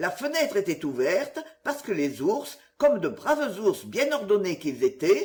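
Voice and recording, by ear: Someone reads text out loud, and the voice sounds natural.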